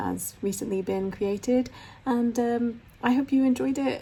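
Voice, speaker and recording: A somewhat breathy, dark, mellow tone at a moderate pace with lively intonation. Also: woman. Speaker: sewing vlogger. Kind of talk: casual vlog tour. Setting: living room at home. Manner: hesitant, frequent ums.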